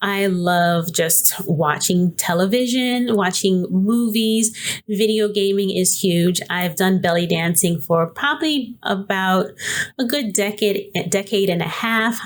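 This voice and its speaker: A woman with an American accent talks at a very slow pace with hardly any pauses. Her medium pitch shows ordinary pitch variation, and her loudness stays very even. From New York City. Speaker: podcast host, business coach. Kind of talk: casual podcast monologue. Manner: hesitant, many fillers.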